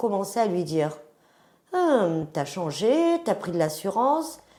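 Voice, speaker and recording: A woman's dark, mellow voice at a medium pitch, with very wide pitch swings. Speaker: image consultant. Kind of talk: interview.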